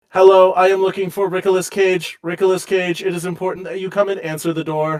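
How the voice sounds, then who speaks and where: A man speaks in a put-on character voice, pitched high. He races along at a very fast pace. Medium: actual play. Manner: formal, stiff.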